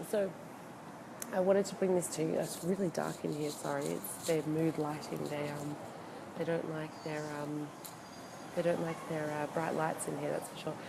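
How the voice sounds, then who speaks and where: A woman speaks quietly at a moderate pace in a very deep, low pitch and a flat monotone, leaving long, frequent pauses amid noticeable background noise and audible room echo. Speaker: e-commerce consultant. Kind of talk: casual live video talk. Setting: hotel, live video. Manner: hesitant, many fillers.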